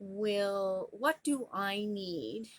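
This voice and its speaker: On a very clean recording with a silent background, a woman with a Canadian accent talks at a medium pitch with ordinary pitch variation. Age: 50s. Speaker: lifestyle vlogger. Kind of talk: casual monologue vlog.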